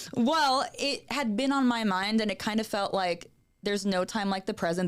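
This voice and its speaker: A woman with an American accent, medium pitch and lively intonation at a moderate pace, on a very clean recording with a silent background. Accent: New York accent, mostly gone. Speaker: actress and acting coach. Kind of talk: podcast interview.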